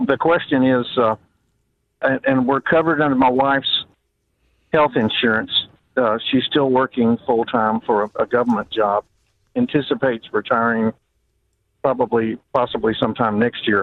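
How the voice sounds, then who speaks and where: In a Southern US accent, a man speaks at a moderate pace and medium pitch with fairly even intonation, very even loudness, and long, frequent pauses. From South Carolina. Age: 60s. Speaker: radio caller. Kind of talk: phone-in question. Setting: phone call.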